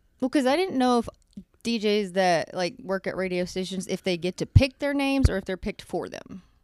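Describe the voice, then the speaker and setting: A woman with an American accent uses a normal speaking voice at a medium pitch, with lively intonation. She talks at a fairly quick pace, and the sound is dry and close with no echo. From Texas. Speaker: podcast co-host. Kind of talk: casual chat.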